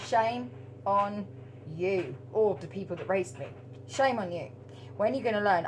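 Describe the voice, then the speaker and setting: A woman with an English accent speaks at a medium pitch, with very wide pitch swings and long, frequent pauses. Audible room echo and noticeable background noise are present. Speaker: spiritual tarot reader. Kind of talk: casual monologue to camera. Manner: halting, stuttering speech; animated.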